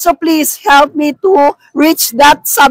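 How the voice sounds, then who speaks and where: A woman at a very slow pace, the sound dry and close with no echo. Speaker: vlogger and market vendor. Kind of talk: casual vlog talk. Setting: public market.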